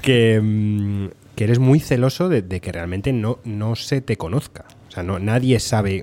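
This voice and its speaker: A man with a dark, mellow tone and fairly low pitch speaks at a fairly slow pace, his pitch varying in an ordinary way. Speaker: podcast host. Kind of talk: casual chat. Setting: restaurant.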